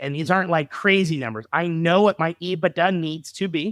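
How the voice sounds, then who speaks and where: A man with a high voice talks at a fairly quick pace in an animated tone. The recording is very clean, with a silent background and a dry, close sound without echo. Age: 30s. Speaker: dental practice broker. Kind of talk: podcast interview. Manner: animated, with frequent repetitions.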